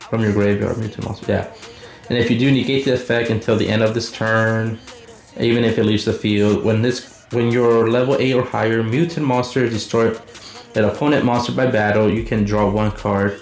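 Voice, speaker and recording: Clear background noise sits behind talking that moves along somewhat fast. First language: not English. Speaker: card game YouTuber. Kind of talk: deck profile tutorial. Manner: halting, many fillers.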